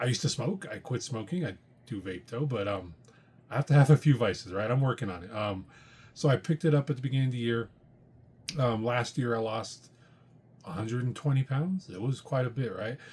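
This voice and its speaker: Somewhat breathy, a man with a medium pitch talks at a fairly quick pace with lively intonation and long, frequent pauses. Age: 40s. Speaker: comic book podcast host. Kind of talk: casual monologue. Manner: hesitant with frequent fillers.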